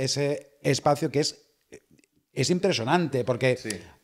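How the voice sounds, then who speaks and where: In a very clean recording with a silent background, a man with an unremarkable speaking voice talks at a moderate pace and a fairly high pitch. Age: 50s. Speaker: motorcycle rider. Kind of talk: casual chat.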